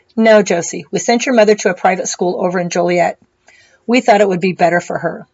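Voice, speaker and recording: A woman puts on a raspy character voice, quiet and at a medium pitch with ordinary pitch variation. She talks at a very fast pace. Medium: read story. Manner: quiet, serious.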